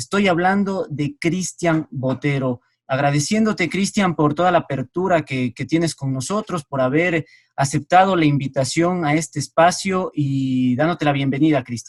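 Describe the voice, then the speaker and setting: At a moderate pace, the somewhat breathy voice shows ordinary pitch variation, and the sound is dry and close with no echo. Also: man, fairly high pitch for a man. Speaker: sports interviewer. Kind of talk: interview.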